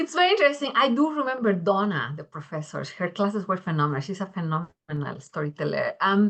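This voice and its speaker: A woman with a Spanish accent talks very fast at a medium pitch, her pitch swinging very widely and hardly pausing at all. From Mexico. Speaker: engineering education researcher. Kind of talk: panel discussion.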